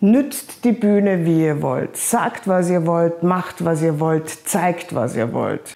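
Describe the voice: Slow and with lively intonation, a woman speaks in a fairly low, dark, mellow voice with vocal fry.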